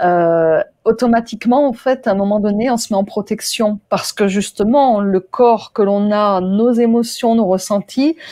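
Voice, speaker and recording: A woman is talking, her pitch varying in an ordinary way. Her tone is dark and mellow. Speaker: interviewer. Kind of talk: interview host, conversational.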